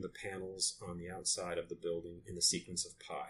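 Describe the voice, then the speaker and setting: Speaking with an American accent, a man has a very deep, low pitch and a bright, sharp tone. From US Northeast, Lewiston, Maine. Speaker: architect and designer. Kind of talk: interview. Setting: in person in his office.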